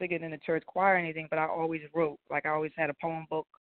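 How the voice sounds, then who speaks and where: A woman talks at a very fast pace. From New Jersey. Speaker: singer. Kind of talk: casual interview. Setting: phone call.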